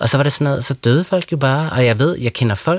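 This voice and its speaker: A man speaks at a fairly quick pace in an ordinary speaking voice of medium pitch, recorded with a dry, close sound and no echo. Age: 40s. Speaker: writer. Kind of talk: radio interview. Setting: studio.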